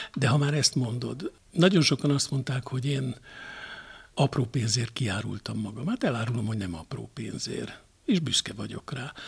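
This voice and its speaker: A man speaks with vocal fry at a moderate pace. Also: medium pitch for a man, ordinary pitch variation. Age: 60s. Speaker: television journalist. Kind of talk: interview. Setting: at guest's home.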